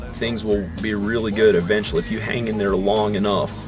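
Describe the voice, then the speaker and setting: A man with a fairly low pitch is heard over noticeable background noise. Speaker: vlogger. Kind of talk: casual vlog chat. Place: home room. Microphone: phone near.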